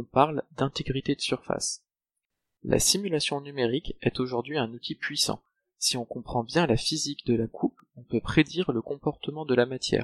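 With an unremarkable speaking voice and a fairly high pitch, a man speaks at a moderate pace with ordinary pitch variation in a dry, close sound with no echo. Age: 20s. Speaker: PhD student in mechanical engineering. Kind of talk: scripted narration. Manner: formal.

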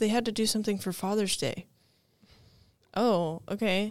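On a very clean recording with a silent background, a woman with a plain, everyday voice talks at a moderate pace, her pitch medium and its variation ordinary. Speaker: summer ministry intern. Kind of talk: casual podcast chat. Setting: studio.

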